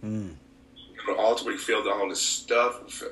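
Noticeable background noise surrounds a man speaking with an Alabama accent. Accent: Southern US (Alabama). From US South, Alabama. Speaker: pastor. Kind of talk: casual chat.

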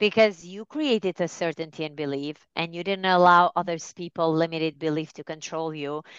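A woman with an ordinary speaking voice talks fairly quickly with hardly any pauses, fairly low in pitch, her intonation fairly even, her loudness swinging widely, the sound dry and close with no echo against a quiet background. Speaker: life coach. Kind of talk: casual interview chat.

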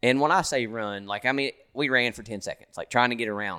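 Bright and sharp in tone, a man with a Kentucky accent speaks at medium pitch on a very clean recording with a silent background. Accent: Kentucky Southern. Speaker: hunter. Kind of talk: casual chat. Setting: hunting lodge in Kentucky.

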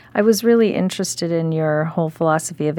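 Over a quiet background, a woman talks at a fairly quick pace in a very deep, low pitch. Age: 40s. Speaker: podcast host and company executive. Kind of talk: interview.

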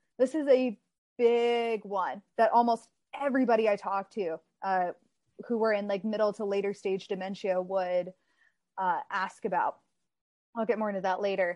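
A woman's voice with an American accent, ordinary pitch variation and long, frequent pauses, the sound dry and close with no echo over a quiet background. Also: medium pitch for a woman. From Texas. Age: 30s. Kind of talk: interview. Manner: fast.

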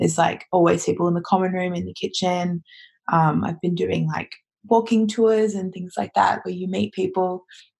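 In an Australian accent, a woman speaks with a fairly low pitch and fairly even intonation. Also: moderate pace. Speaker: listener guest, backpacker. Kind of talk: casual chat. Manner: hesitant, many fillers.

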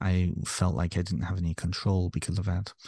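This man has a very deep, low pitch. His tone is dark and mellow. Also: quiet background. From North Wales, raised in Ontario, Canada. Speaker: author and therapist. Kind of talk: casual interview conversation.

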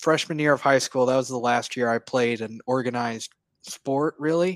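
An unremarkable speaking voice from a man with an American accent, at a medium pitch and moderate pace with fairly even intonation, sounds dry and close with no echo. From Oklahoma. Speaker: sports fan, graduate student. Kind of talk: casual interview. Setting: video call.

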